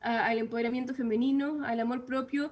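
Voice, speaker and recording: A woman speaks at a moderate pace and a high pitch. Her intonation is monotone and flat. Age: 20s. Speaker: author. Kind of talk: interview. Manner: hesitant, many filler sounds.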